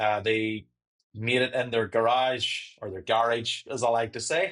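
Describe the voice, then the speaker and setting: He speaks at a medium pitch, a man with a Northern Irish accent. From Northern Ireland. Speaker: sales and marketing director. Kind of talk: interview.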